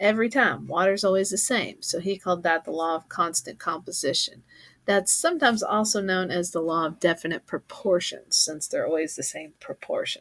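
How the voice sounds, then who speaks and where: Over a silent background on a very clean recording, a woman with a Kentucky accent and a medium pitch talks at a fairly quick pace with ordinary pitch variation and hardly any pauses. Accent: Southern US (Kentucky). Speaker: teacher. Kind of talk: lecture. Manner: casual, conversational.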